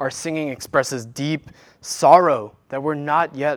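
A man is speaking. The recording is very clean with a silent background. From South Korea, moved to US in childhood. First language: Korean. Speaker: worship leader preaching. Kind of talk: sermon. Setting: church.

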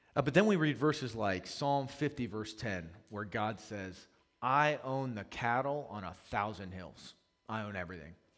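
A man with an American accent talks in a plain, everyday voice at medium pitch and a moderate pace. His intonation is lively, and his loudness swings widely. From US, Maryland (Howard County). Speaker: pastor. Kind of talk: sermon.

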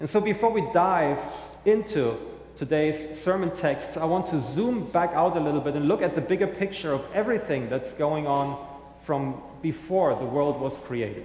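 Amid noticeable background noise, a man with a German accent talks with lively intonation. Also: fairly high pitch for a man, moderate pace. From Germany. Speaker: pastor. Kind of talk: sermon. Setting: church.

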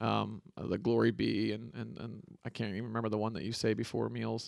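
This man has an ordinary speaking voice, with an American accent and medium pitch. He talks at a fairly quick pace on a very clean recording with a silent background. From West Michigan, US Midwest. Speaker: church elder candidate. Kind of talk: casual interview.

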